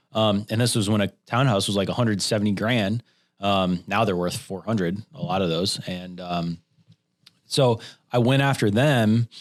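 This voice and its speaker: This man has a plain, everyday voice, fairly low in pitch, moving at a moderate pace with ordinary pitch variation. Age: 30s. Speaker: real estate agent. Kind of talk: casual chat.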